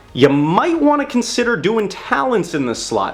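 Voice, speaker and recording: A man talks in an animated tone with noticeable background noise behind him. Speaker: YouTube card game content creator. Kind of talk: deck profile tutorial. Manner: fast; animated, casual.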